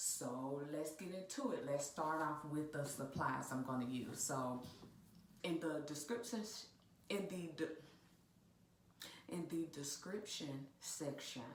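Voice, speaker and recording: Very deep and low, a woman's voice moves very slowly with ordinary pitch variation. Audible room echo surrounds it. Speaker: DIY video host and realtor. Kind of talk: tutorial. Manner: casual, chatty.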